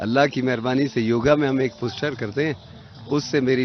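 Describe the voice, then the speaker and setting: A man with a medium-pitched voice keeps his intonation fairly even while noticeable background noise carries on. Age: 60s. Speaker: retired telecom director, yoga practitioner. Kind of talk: interview.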